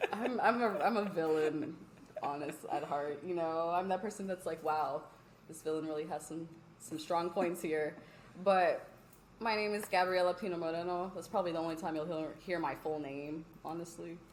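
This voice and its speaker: An animated tone in an American accent at a moderate pace, with audible room echo. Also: woman, fairly low pitch for a woman. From US East Coast, Philadelphia family, Virginia. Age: 20s. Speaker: podcast co-host. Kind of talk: casual chat.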